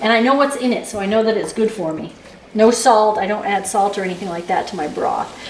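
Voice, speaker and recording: A woman's fairly high voice at a very fast pace with ordinary pitch variation, amid audible room echo and noticeable background noise. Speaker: cooking channel host. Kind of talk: cooking tutorial.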